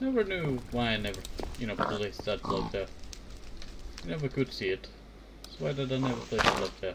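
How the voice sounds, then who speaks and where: Soft-spoken and talking at a fairly quick pace, a man is heard over noticeable background noise. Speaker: Minecraft let's play streamer. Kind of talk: casual gameplay commentary.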